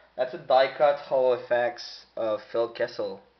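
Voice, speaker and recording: The speaker is a man with a French accent. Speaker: sports card collector. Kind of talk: box break commentary. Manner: casual.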